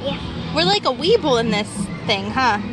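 Clear music plays in the background. The speech comes at a fairly slow pace. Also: dry sound with no echo. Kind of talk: casual talk to a toddler. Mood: cheerful, playful. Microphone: phone near.

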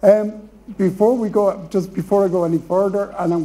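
A man's dark, mellow tone, with an Irish accent, at a fairly slow pace. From Ireland. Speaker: panel chair. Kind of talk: chairing a panel. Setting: stage with audience. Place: hall.

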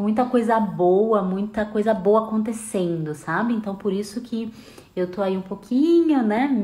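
A woman speaks at a fairly slow pace, with a light layer of background noise. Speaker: live host, nutrition educator. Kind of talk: casual live stream chat. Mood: warm, cheerful. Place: home room. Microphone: earbuds.

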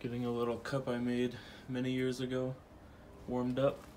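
The speaker is male. Faint noise sits behind him. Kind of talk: tutorial. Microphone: camera far.

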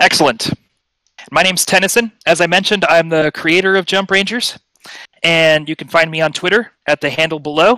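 The voice has a bright, sharp tone, ordinary pitch variation and a moderate pace, with a dry, close sound and no echo. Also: man, fairly high pitch for a man.

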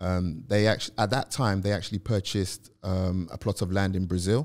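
A man with a London accent speaks at a fairly low pitch and moderate pace. His intonation is fairly even, over a quiet background. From South London. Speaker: property professional; podcast guest. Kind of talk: interview. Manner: hesitant, many fillers. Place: studio. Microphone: studio mic.

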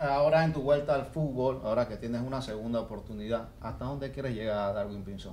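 At a very fast pace and with hardly any pauses, a man talks in a medium pitch. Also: ordinary pitch variation. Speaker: sports podcast host. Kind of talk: interview. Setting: studio. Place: studio. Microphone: studio mic.

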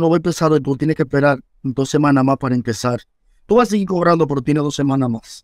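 Dry and close with no echo, this recording has a man talking at a very fast pace. His pitch is fairly high, with ordinary variation. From Dominican Republic, Villa Duarte (Santo Domingo Este). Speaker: first-aid rescuer and instructor. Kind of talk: interview testimony.

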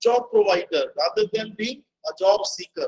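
A man's extremely high-pitched voice with fairly even intonation. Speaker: guest lecturer. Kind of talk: lecture. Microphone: video call.

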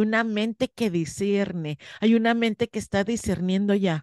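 A woman at a fairly slow pace, animated in tone with ordinary pitch variation, in a dry sound with no echo and a quiet background. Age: 50s. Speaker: spiritual teacher. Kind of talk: interview. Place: home room. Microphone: studio mic.

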